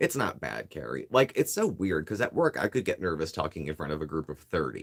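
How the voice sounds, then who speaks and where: At a fairly quick pace, a man talks with vocal fry in a very deep, low pitch, making very wide pitch swings. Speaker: YouTube vlogger. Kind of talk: casual chat.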